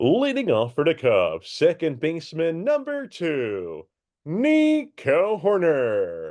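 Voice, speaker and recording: A man puts on a character voice, pitched high and delivered at a very slow pace. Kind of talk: formal announcer.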